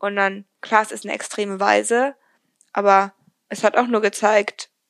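At a moderate pace, a woman speaks with a dry, close sound with no echo. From Germany. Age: young. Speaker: podcaster, recent school graduate. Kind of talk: casual interview.

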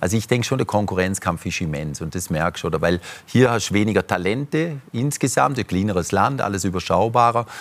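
Lively intonation and a fairly quick pace carry a normal speaking voice. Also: man, fairly low pitch for a man. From German-Swiss border region. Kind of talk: talk show discussion.

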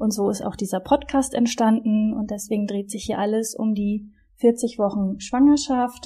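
Recorded very cleanly against a silent background, a woman with a fairly high pitch speaks at a fairly slow pace, somewhat breathy, with a dark, mellow tone and fairly even intonation. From northern Germany, Wismar on the Baltic coast. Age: 30s. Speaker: podcast co-host, sports manager. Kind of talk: podcast introduction, casual.

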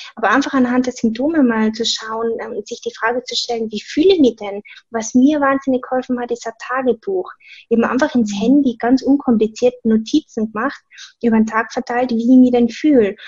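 A woman with a slight Tyrolean accent, high-pitched with ordinary pitch variation, at a fairly quick pace. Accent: slight Tyrolean Austrian. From Austria, Tyrol. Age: 20s. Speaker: personal trainer. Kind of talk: casual interview.

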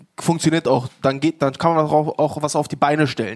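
A man speaks at a moderate pace in an ordinary speaking voice. His pitch is fairly high and his intonation fairly even. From Munich, Bavaria. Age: 30s. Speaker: local politician, city council candidate. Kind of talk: panel discussion.

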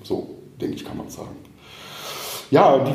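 There is audible room echo around this man's voice. He talks at a fairly quick pace. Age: 40s. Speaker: mortgage broker. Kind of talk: casual interview. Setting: office.

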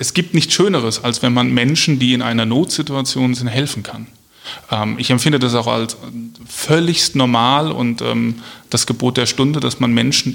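The speaker has an unremarkable speaking voice. Pitch varies in an ordinary way. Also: man. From Germany, Hesse (Marburg). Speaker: police officer and local politician. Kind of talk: interview.

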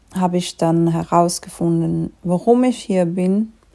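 At a very slow pace, a woman talks in a fairly low pitch with a dark, mellow tone and fairly even intonation. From Switzerland. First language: Swiss German (speaking German). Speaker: life coach. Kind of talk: solo podcast monologue.

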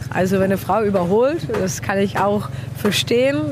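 A woman speaks at a medium pitch with a Czech accent. Noticeable background noise and audible room echo surround her voice. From Czech Republic. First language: Czech (speaking German). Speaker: racing driver. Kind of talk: interview. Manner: halting.

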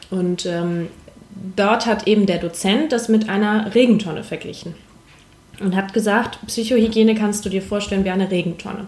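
Here a woman speaks in an unremarkable speaking voice at a medium pitch. Her pace is moderate and her intonation fairly even. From northern Germany, Hamburg. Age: 20s. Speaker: paramedic. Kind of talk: casual chat. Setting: in a roof-tent travellers' base.

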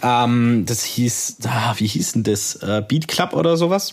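The man speaks at a medium pitch with a slight Swabian accent. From Swabia, southwest Germany. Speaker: podcast co-host, audio producer. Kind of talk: casual chat.

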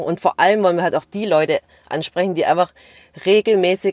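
On a very clean recording with a silent background and a dry, close sound with no echo, the voice moves at a moderate pace with fairly even intonation. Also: woman. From Stuttgart area, Swabia (Vietnamese family). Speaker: podcast co-host, corporate employee. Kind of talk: casual chat.

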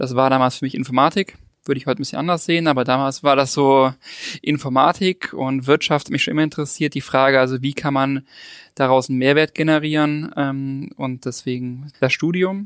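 A man with an unremarkable speaking voice talks at a fairly quick pace, fairly high in pitch with fairly even intonation. The sound is dry and close with no echo, and the background is quiet. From Lake Constance region, southern Germany (Ravensburg). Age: 30s. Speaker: digital academy leader. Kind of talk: interview.

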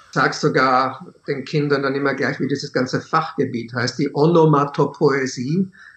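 A man with a plain, everyday voice speaks at a moderate pace, his fairly high pitch held in fairly even intonation. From Czechia, moved to Austria at seven. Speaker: author and teacher. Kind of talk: interview.

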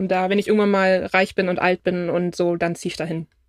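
A woman's voice with fairly even intonation, dry and close with no echo, in a very clean recording with a silent background. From Brandenburg, Germany (village near Berlin). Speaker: friend of the host. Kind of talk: casual interview chat. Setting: in a camper van.

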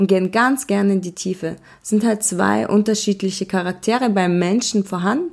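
A woman of medium pitch has an unremarkable speaking voice with ordinary pitch variation. Her moderate pace is caught in a very clean recording with a silent background. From Germany, born in Russia. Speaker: podcast host, entrepreneur. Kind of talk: casual monologue.

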